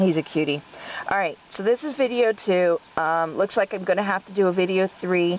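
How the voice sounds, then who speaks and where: Her voice sits at a medium pitch with ordinary pitch variation. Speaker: rabbit breeder. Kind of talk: casual video update. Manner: slow; hesitant, many fillers.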